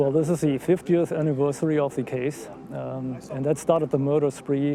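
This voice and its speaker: With a German accent, a man speaks at a fairly high pitch with ordinary pitch variation. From Germany. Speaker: citizen investigator. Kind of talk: interview. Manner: hesitant, many fillers.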